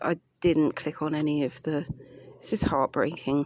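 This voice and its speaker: A woman with a British accent speaks fairly quickly in a very deep, low voice. Her intonation is monotone and flat, and the sound is dry and close with no echo. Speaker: vlogger. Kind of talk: casual vlog monologue. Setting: outdoors in light rain. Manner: halting; subdued, lower voice.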